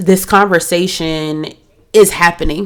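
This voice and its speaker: Here a woman with an American accent speaks at a fairly low pitch. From Delaware, US. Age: 30s. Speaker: nurse and podcast host. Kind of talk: podcast monologue. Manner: loud; animated.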